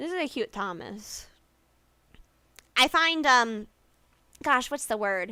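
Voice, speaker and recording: Very slowly and with long, frequent pauses, a woman speaks in a high, bright, sharp voice with very wide pitch swings. The recording is very clean, with a silent background. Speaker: vtuber streamer. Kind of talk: casual livestream chat. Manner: stutters and mixes up words; halting, self-correcting.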